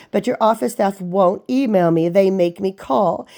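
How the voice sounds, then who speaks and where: A woman's dark, mellow tone. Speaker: patient calling a clinic. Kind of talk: phone complaint. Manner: loud.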